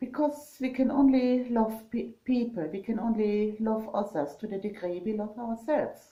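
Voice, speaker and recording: In a strong German accent, a woman speaks at a fairly high pitch with a dark, mellow tone, somewhat breathy. Her pace is moderate with hardly any pauses and ordinary pitch variation. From Germany. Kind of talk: casual vlog talk. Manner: halting, many fillers.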